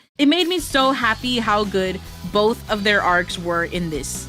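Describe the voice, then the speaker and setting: A woman's enthusiastic, upbeat voice at a medium pitch, with music playing behind it. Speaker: VTuber. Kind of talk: casual movie review to camera.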